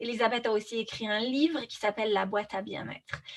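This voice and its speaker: Her intonation is fairly even and her pitch fairly high. It is an unremarkable speaking voice from a woman. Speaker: podcast host. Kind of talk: interview conversation.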